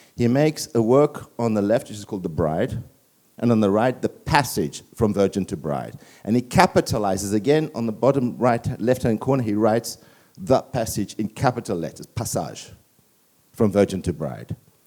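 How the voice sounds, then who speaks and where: A man with a medium-pitched, dark and mellow voice with vocal fry talks at a moderate pace with lively intonation. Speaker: artist presenting his research. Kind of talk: illustrated talk to an audience. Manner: halting, many fillers.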